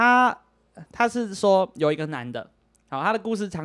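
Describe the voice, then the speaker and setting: Speaking with a Taiwanese accent, a man sounds animated, his pitch swinging very widely, in a very clean recording with a silent background. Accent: Taiwanese Mandarin. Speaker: podcast host. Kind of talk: casual chat. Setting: home recording with microphones.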